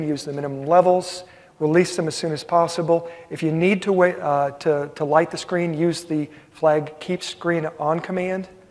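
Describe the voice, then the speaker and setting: A man's high-pitched voice, flat and monotone in intonation, sits over noticeable background noise. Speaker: technical workshop presenter. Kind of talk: technical workshop presentation. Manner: fast.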